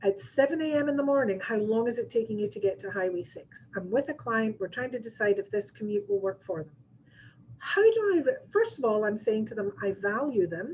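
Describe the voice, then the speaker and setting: A woman's fairly high, somewhat breathy voice with a Scottish accent, fairly quick and lively in intonation, with big swings in loudness. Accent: Scottish, noticeable to listeners. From Scotland. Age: 60s. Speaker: real estate agent and trainer. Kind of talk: training seminar. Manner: conversational, with frequent fillers.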